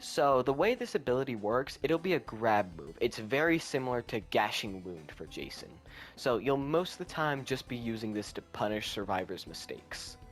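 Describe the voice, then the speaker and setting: With music in the background, a man speaks at a moderate pace and medium pitch, his intonation lively and his loudness swinging widely. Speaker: gaming youtuber. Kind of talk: unscripted game concept explanation. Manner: halting, stuttering; casual.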